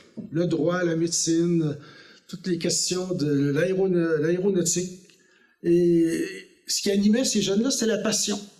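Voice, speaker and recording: Heard with audible room echo, a man with a high pitch and dark, mellow tone speaks at a fairly slow pace with ordinary pitch variation. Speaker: former politician. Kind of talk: lecture. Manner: hesitant, with fillers.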